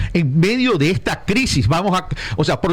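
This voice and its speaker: Over noticeable background noise, a man with a high pitch speaks in an animated tone with lively intonation at a fairly slow pace. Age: 60s. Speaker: political consultant. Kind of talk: radio interview.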